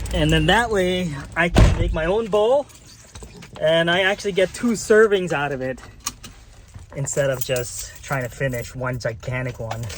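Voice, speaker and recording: Against noticeable background noise, a fairly high-pitched man with an American accent swings his pitch very widely and leaves long, frequent pauses. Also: moderate pace. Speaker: vlogger. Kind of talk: casual vlog narration.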